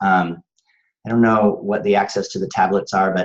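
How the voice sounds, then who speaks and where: This is a man talking. His pitch is fairly low. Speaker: college math instructor. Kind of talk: instructional presentation. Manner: fast; hesitant, many fillers.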